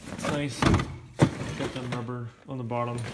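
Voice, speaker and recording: Against noticeable background noise, a man of medium pitch speaks at a very slow pace. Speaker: Jeep hobbyist vlogger. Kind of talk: casual vlog walkaround.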